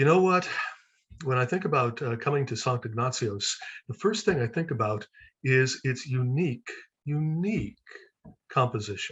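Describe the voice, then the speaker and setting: Somewhat breathy delivery at a moderate pace, with lively intonation. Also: man. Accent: American. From United States. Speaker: seminary lecturer. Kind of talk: online presentation.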